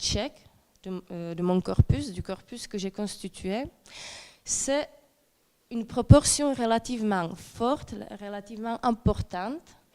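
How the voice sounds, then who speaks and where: A woman with a Czech accent speaks at a fairly high pitch. She leaves long, frequent pauses. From Czech lands. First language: Czech (speaking French). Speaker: doctoral researcher. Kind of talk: academic conference talk. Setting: presentation with slides to audience. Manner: hesitant, many fillers.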